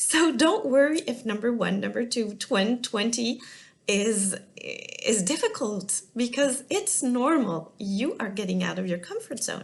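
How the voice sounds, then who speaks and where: Speaking fairly slowly in a French accent, a woman with a high pitch uses lively intonation over noticeable background noise. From France. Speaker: business and life coach. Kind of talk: talking-head coaching video. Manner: halting, many fillers.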